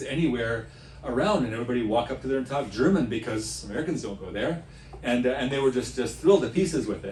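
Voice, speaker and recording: Someone talks at a very fast pace over noticeable background noise, with audible room echo. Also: man. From United States, Latvian-American family. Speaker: tour leader, former teacher. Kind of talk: casual self-introduction talk. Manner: halting, many fillers.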